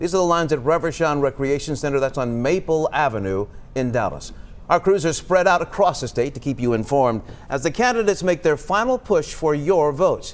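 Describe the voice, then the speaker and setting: A man's fairly high, normal speaking voice, a normal speaking voice, at a fairly quick pace with lively intonation. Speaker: news anchor. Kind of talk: TV newscast anchor read.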